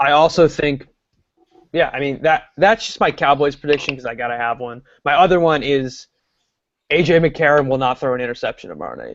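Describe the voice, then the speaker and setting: This man talks fairly fast at a fairly high pitch. His loudness swings widely while his pitch varies in an ordinary way. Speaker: sports podcast host. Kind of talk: casual chat. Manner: animated.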